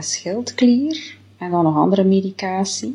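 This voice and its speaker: Somewhat breathy, a woman speaks at a very slow pace in a medium pitch, with a dark, mellow tone and lively intonation. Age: 40s. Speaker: diet product customer giving testimonial. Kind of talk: testimony. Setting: self-recorded video.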